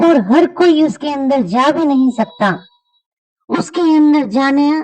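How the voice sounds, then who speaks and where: In a cartoonish character voice, a woman speaks at a very slow pace. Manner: mysterious, persuasive.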